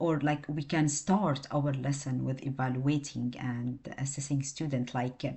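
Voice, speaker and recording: With a non-native accent, a woman speaks in a very deep, low pitch and fairly even intonation. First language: not English. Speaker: student presenting coursework. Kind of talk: class presentation. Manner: halting, many fillers.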